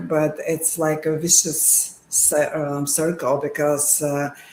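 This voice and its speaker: A woman with a Bulgarian accent speaks at a very deep, low pitch. Audible room echo and noticeable background noise fill the recording. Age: 50s. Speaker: sonographer. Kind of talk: live interview.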